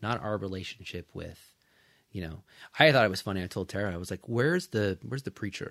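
With an American accent, the speaker goes at a very fast pace with ordinary pitch variation in a dry, close sound with no echo. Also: man, fairly low pitch for a man, very clean recording, silent background. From California Central Coast. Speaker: physical therapist. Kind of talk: casual chat.

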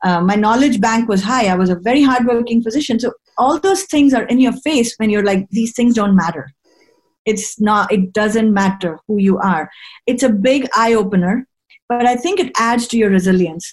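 With very even loudness, a woman speaks in a fairly high, somewhat breathy voice with lively intonation. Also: moderate pace. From India. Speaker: infectious disease physician. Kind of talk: interview.

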